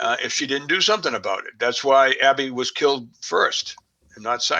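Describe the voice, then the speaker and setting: A man with an American accent talks at a fairly quick pace, his loudness swinging widely. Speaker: crime researcher, guest expert. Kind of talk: podcast interview. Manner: halting, many fillers.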